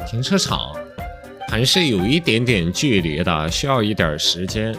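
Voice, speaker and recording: Over music in the background, a man with a fairly low voice speaks very slowly, his pitch swinging very widely. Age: young. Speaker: game commentator. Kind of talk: casual gameplay commentary.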